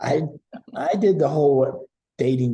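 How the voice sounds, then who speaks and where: A somewhat breathy man's voice with a dark, mellow tone in a Southern US accent, at a fairly slow pace. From US South, Tennessee. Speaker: guest. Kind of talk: casual chat.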